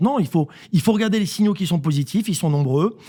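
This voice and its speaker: A man with a high, dark, mellow voice talks at a very fast pace. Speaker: real estate network CEO. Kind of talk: radio interview.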